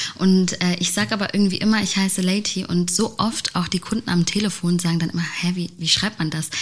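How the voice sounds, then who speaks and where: A woman speaks at a very fast pace with hardly any pauses, her pitch medium and her intonation fairly even. Noticeable background noise runs under her voice. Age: 20s. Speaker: podcast host, agency CEO. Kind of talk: casual interview. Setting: studio.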